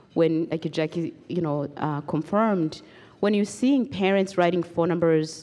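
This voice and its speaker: Fairly low in pitch, a woman's voice with a dark, mellow tone moves at a moderate pace with ordinary pitch variation. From Rwanda. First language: Kinyarwanda or French (not English). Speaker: genocide survivor and human rights advocate. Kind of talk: testimony. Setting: stage with audience. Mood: earnest, reflective. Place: hall. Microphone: handheld.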